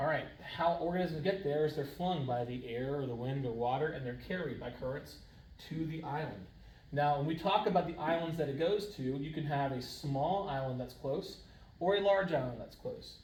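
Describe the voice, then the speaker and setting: Amid noticeable background noise and audible room echo, a man talks in a fairly high pitch with ordinary pitch variation. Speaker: high school science teacher. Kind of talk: lecture. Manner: fast; casual.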